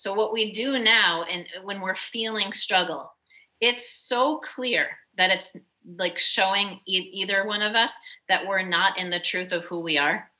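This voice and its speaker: Speaking at a fairly slow pace, a woman keeps a medium pitch with ordinary pitch variation. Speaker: mindset coach. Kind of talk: casual chat. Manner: animated.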